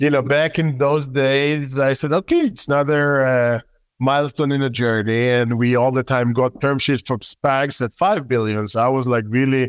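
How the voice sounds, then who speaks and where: Against a quiet background, a man speaks with an Israeli accent at a medium pitch. His intonation is fairly even and his loudness very even. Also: moderate pace. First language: Hebrew. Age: 30s. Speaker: tech company founder and CEO. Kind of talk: interview.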